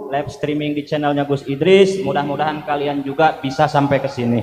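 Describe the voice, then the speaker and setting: Someone speaks in a West Javanese accent over noticeable background noise, with audible room echo. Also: man. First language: Sundanese (speaking Indonesian). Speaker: preacher. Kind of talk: sermon.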